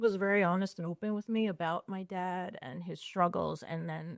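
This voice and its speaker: In a dry, close sound with no echo, a woman of medium pitch speaks with a Long Island accent and ordinary pitch variation. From US Northeast, Long Island, New York. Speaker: social worker in recovery. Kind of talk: interview conversation.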